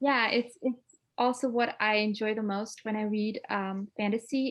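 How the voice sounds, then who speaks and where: At a fairly slow pace, a woman with a slight non-native accent speaks in a fairly high pitch. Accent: barely noticeable foreign. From Denmark. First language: Danish. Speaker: author. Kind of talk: interview. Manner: hesitant, many fillers.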